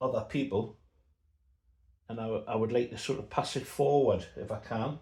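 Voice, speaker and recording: Somewhat breathy, a man with an English accent talks at a medium pitch and a fairly slow pace. His intonation stays monotone and flat. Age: 60s. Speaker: model aircraft builder. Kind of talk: tutorial. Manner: casual.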